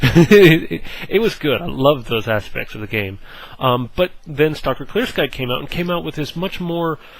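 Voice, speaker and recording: At a moderate pace, a man talks with lively intonation in a fairly high pitch. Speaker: gaming video creator. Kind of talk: casual gameplay preview talk. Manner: animated, hesitant with fillers.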